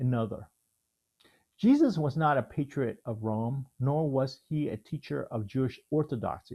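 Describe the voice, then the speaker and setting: A somewhat breathy man with an American accent, fairly high pitch, ordinary pitch variation, dark, mellow tone and moderate pace. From Houston, Texas (born Vietnam). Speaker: theologian. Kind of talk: reading aloud.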